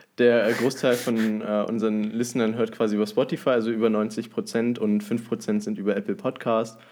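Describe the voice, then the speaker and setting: Speaking at a moderate pace with hardly any pauses, a man delivers his words at a medium pitch in a flat, monotone intonation. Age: young. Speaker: podcast co-host. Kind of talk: casual chat.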